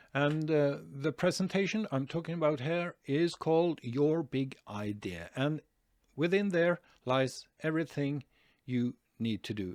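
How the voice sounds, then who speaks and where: Over a silent background in a very clean recording, a man with a Norwegian accent talks at a fairly slow pace with lively intonation, the sound dry and close with no echo. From Norway. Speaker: online marketing youtuber. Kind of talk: tutorial. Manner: hesitant, many fillers.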